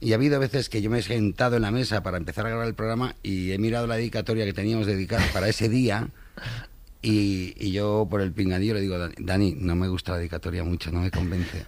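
A man speaks at a fast pace in a fairly low pitch. His intonation stays fairly even.

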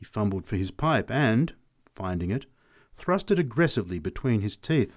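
This is read aloud in an unforced reading voice.

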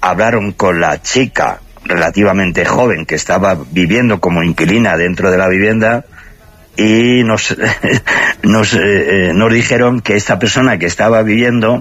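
Here a man talks at a moderate pace with ordinary pitch variation. His voice is fairly low with a fairly bright tone.

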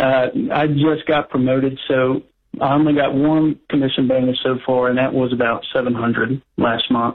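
Delivered at a moderate pace, the speech shows little pitch movement. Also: man, medium pitch for a man.

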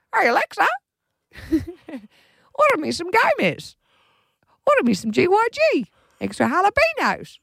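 A put-on character voice comes at an extremely high pitch and a fairly slow pace. Long, frequent pauses break it up. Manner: mimicking.

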